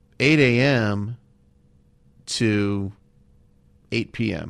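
A man with a Californian accent at a very slow pace and medium pitch. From Southern California (Los Angeles). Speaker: comedy writer and actor. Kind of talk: casual interview chat.

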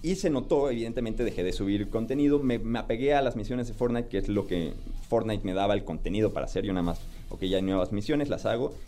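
Very fast speech with ordinary pitch variation, audible room echo, and music in the background. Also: man, medium pitch for a man. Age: 30s. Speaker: TikTok content creator. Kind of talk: radio interview.

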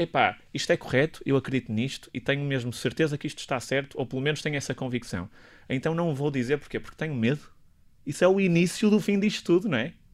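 Talking very fast with lively intonation, a man with a fairly high pitch comes through on a very clean recording with a silent background. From northern Portugal. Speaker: doctor and health policy professor. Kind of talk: radio interview. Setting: radio studio.

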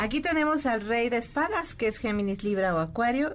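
The speaker talks at a fairly quick pace. The pitch swings very widely. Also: woman. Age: 50s. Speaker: tarot reader. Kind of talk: casual chat. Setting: studio.

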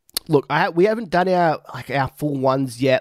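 A man with an Australian accent, ordinary pitch variation, and a dry, close sound with no echo. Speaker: podcast host. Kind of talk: casual chat.

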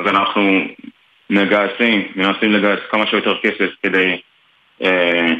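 A man speaks in a fairly low, monotone voice with flat intonation and very even loudness. His pace is very slow, with long, frequent pauses. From Dimona, Israel. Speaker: soldier. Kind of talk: interview. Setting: phone call.

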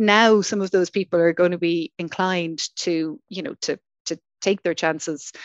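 In an Irish accent, a woman talks at a moderate pace with a fairly low pitch and ordinary pitch variation. The sound is dry and close with no echo, over a quiet background. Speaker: venture capital industry association director. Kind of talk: panel discussion.

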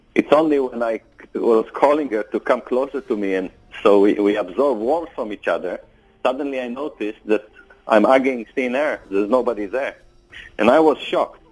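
Using an ordinary speaking voice, a man talks at a moderate pace and a medium pitch with ordinary pitch variation. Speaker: survivor telling his story. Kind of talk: recounting a story in interview.

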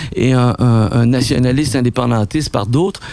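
A man at a moderate pace. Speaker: documentary filmmaker and writer. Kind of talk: interview. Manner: halting.

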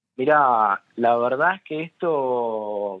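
A man talks with ordinary pitch variation. His voice has a medium pitch. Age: 20s. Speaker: massacre survivor. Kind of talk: testimony. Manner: halting.

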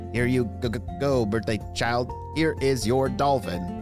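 Over loud music in the background, a man puts on a robotic character voice at a medium pitch and a fairly slow pace.

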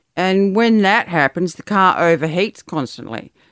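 Ordinary pitch variation from a woman in an Australian accent. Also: dry, close sound with no echo, very clean recording, silent background. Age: 50s. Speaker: host's mother. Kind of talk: casual chat.

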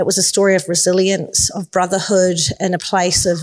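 A woman speaks in a New Zealand accent at a moderate pace. Her pitch is fairly low, and there is noticeable background noise. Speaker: filmmaker. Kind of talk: panel discussion. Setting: stage with audience.

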